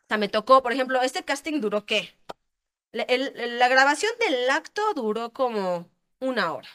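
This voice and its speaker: Pitched high, a woman's voice has a bright, sharp tone. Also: lively intonation, moderate pace, dry, close sound with no echo. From Querétaro, Mexico. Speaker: adult film actress. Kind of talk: interview.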